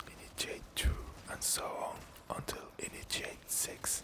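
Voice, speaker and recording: Whispering over noticeable background noise. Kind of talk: casual talk to camera. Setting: gameplay commentary with keyboard and mouse sounds. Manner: whispered, soft-spoken.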